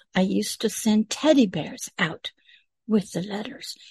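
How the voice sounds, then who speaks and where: A woman speaks at a fairly slow pace and fairly high pitch, somewhat breathy and with lively intonation, in a dry, close sound with no echo. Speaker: pastor. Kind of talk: video teaching.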